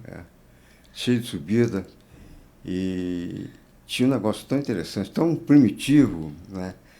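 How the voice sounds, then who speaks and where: A man speaks at a fairly slow pace in a fairly low, dark and mellow voice, with very wide pitch swings, big swings in loudness, and long, frequent pauses. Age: 80s+. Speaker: marathon runner. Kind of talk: interview answer.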